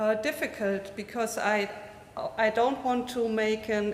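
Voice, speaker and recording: Speaking at a fairly slow pace, a woman has a German accent, a medium pitch and ordinary pitch variation. Noticeable background noise and audible room echo are present. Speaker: physicist, foundation associate. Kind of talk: conference talk, unprepared remarks. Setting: conference with live audience, streamed. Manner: halting, many fillers.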